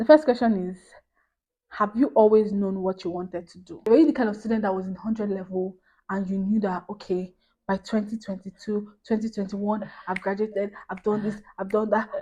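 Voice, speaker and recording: Fairly quick speech from a woman at a medium pitch, somewhat breathy and dark and mellow in tone, with big swings in loudness. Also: fairly even intonation. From Nigeria. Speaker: YouTuber. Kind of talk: casual chat. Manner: fast.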